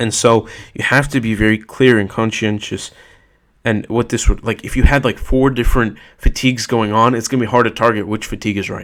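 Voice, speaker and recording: Over a silent background in a very clean recording, a man speaks at a fairly quick pace and medium pitch, his intonation monotone and flat. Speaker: self-help vlogger. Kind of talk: casual monologue. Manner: fast.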